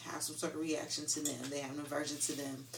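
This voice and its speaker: Noticeable background noise behind a fairly quick pace of speech. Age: 30s. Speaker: music artist and fruit vendor. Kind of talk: casual chat.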